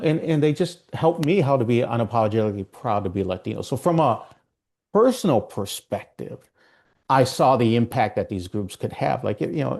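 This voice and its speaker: Against a quiet background, the speaker moves at a fairly quick pace with lively intonation. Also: man, medium pitch for a man. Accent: Minnesotan. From Minnesota, US. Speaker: ERG consultant. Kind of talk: interview.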